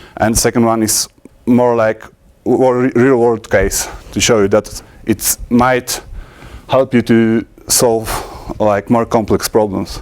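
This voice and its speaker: A man with a Polish accent speaks at a medium pitch and a very slow pace, his loudness very even. His intonation is monotone and flat, broken by long, frequent pauses. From Poland. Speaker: conference speaker, programmer. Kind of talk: technical conference talk. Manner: halting, many fillers and restarts.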